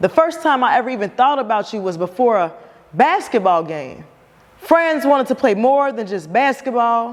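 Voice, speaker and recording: Amid noticeable background noise, a woman talks at a moderate pace in a high pitch with very wide pitch swings. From Cincinnati. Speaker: spoken word artist. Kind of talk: spoken word performance. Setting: live stage.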